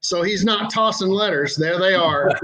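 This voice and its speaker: A man uses a raised, projected voice at a moderate pace, with ordinary pitch variation. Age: 60s. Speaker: seasoning company owner, sponsor. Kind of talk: casual chat.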